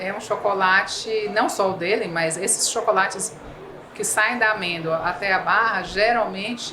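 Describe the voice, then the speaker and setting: With a Bahian accent, a woman speaks at a fairly slow pace and fairly even intonation, amid noticeable background noise and audible room echo. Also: medium pitch for a woman. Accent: Bahian Brazilian Portuguese. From Bahia, Brazil. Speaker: civil engineer. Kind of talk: podcast interview. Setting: trade fair.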